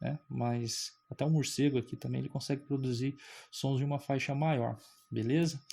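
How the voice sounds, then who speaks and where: A somewhat breathy man with a dark, mellow tone, medium pitch and moderate pace, in a very clean recording with a silent background. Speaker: physics teacher. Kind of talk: lecture. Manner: animated.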